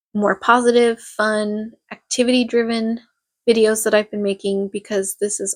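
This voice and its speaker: Monotone and flat in intonation, a woman with a fairly high pitch talks at a moderate pace in a dry, close sound with no echo. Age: 30s. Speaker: vlogger. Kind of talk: personal vlog.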